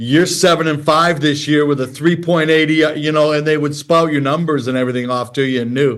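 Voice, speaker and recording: At a moderate pace, a man with an American accent talks in a fairly high pitch with fairly even intonation. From Detroit, US Midwest. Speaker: former pro baseball pitcher and broadcaster. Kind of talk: podcast interview.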